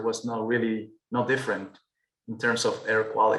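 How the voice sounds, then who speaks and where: A man with a Peruvian accent speaks in a bright, sharp tone with fairly even intonation. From Peru, Andes. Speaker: architect. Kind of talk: webinar presentation. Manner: hesitant, frequent repetitions.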